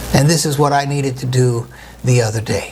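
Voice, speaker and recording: A man talks in a room with audible echo, with noticeable noise in the background. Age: 60s. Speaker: pastor. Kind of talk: sermon.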